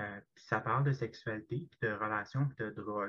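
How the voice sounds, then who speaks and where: In a Quebec accent, a man speaks with a bright, sharp tone and ordinary pitch variation. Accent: Québécois French. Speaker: podcast guest. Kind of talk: casual chat.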